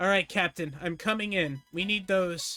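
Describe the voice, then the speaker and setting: A put-on character voice at a middle pitch plays over faint background music. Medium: virtual streamer. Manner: urgent, exasperated.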